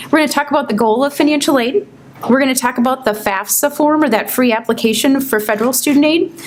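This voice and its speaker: A woman with a high pitch and ordinary pitch variation speaks at a very fast pace over noticeable background noise. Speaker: financial aid presenter. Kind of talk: informational seminar presentation.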